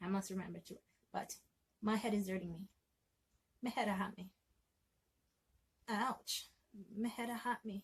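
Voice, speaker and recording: Speaking at a moderate pace with long, frequent pauses, a woman uses a medium pitch, a somewhat breathy sound and fairly even intonation. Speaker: language teacher. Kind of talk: language lesson to camera.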